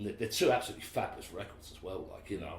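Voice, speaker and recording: A man's voice with audible room echo. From England, Basildon, Essex (East End roots). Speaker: musician. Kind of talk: interview conversation. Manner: hesitant, many fillers and repetitions.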